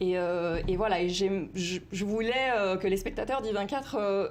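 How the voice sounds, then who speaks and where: Moderate pace and ordinary pitch variation from a female speaker. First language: Italian (speaking French). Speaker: university researcher in discourse analysis. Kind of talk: TV news interview. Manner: hesitant, many fillers.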